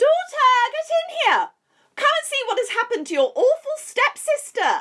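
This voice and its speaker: Putting on a character voice, a woman squeaks at an extremely high pitch, swinging very widely up and down at a moderate pace. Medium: audio drama. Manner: harsh, scolding, crude.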